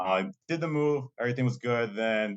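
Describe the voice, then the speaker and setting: A speaker with a Massachusetts accent, recorded with a dry, close sound and no echo. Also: man. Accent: Massachusetts American English. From Lowell, Massachusetts, US; Colombian-American family. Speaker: college diversity administrator. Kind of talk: podcast interview. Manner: casual, many fillers and repetitions.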